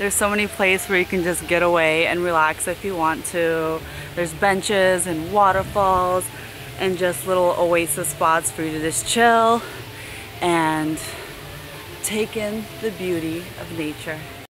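With fairly even intonation, a woman talks at a fairly slow pace and a fairly low pitch in a dry sound with no echo, over noticeable background noise. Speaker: travel vlogger. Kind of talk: casual vlog chat. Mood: cheerful, playful. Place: garden. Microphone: phone near.

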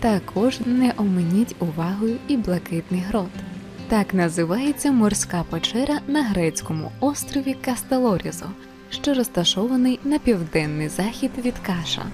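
The speech moves at a fairly slow pace with very even loudness, with music in the background. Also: woman, medium pitch for a woman, lively intonation. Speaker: voice-over narrator. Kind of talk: documentary narration.

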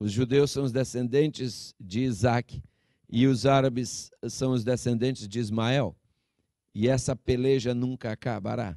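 Against a quiet background, a man's voice has a dark, mellow tone and a dry sound with no echo. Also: fairly even intonation, fairly slow pace. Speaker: preacher. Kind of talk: sermon. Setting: church with a congregation. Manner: earnest, pastoral and exhortative, addressing the congregation as 'queridos' and 'irmãos'; deliberate, with some hesitations and self-corrections. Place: church. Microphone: handheld.

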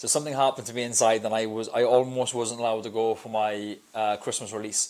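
Flat and monotone, a man speaks at a fairly quick pace. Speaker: podcast guest. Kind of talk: interview answer. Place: studio. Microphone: lapel.

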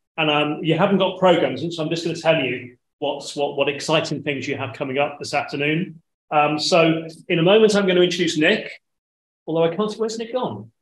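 Audible room echo surrounds a man's voice. He speaks at a fairly quick pace with ordinary pitch variation. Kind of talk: event introduction. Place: hall.

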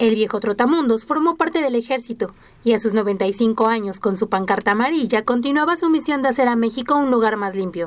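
A woman talks at a very fast pace with hardly any pauses. Her fairly high voice has lively intonation. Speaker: news reporter. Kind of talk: TV news narration.

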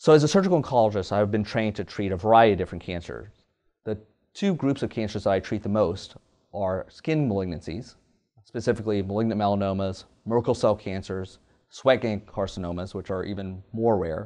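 Fairly quick and fairly low in pitch, a man with an American accent talks in a dark, mellow tone against a quiet background. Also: ordinary pitch variation. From US South, Louisiana (Kaplan); Louisiana. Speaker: surgical oncologist. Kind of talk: professional profile interview. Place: office. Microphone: lapel.

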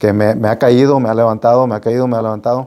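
With the background kept quiet, a man is heard speaking. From Las Vegas, Nevada (born in Nayarit, Mexico); Nevada. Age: 50s. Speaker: real estate business owner; interview guest. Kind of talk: interview. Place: studio. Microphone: lapel.

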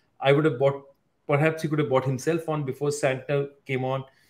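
A man talks at a fairly quick pace. His tone is slightly mellow.

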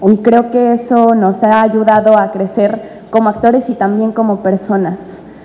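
The speaker is a woman. Her pitch moves only a little, staying fairly even. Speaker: actress presenting a play. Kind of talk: press conference statement. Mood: warm, grateful. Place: hall. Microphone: podium.

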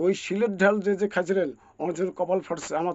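This man's voice sits high in pitch. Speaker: local party activist. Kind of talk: political speech. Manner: impassioned; halting.

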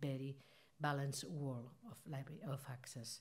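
A woman's somewhat breathy voice with a dark, mellow tone and a Spanish accent. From Spain, Barcelona; Catalonia, Spain. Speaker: library organisation president. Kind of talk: conference speech. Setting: stage with audience. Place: hall. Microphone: podium.

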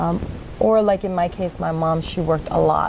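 Over noticeable background noise, a woman talks at a fairly quick pace in a fairly low pitch. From New York. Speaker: nonprofit founder. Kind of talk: interview. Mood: warm, earnest. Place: studio.

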